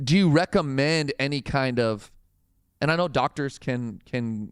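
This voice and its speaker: A man's fairly high-pitched, ordinary speaking voice with ordinary pitch variation at a fairly slow pace, dry and close with no echo. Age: 40s. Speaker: pastor. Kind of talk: casual chat.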